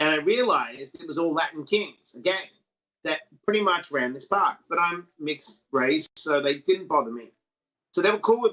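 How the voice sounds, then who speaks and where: Speaking at a moderate pace in an Australian accent, a man with a high pitch uses lively intonation and an animated tone, with big swings in loudness. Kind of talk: casual interview.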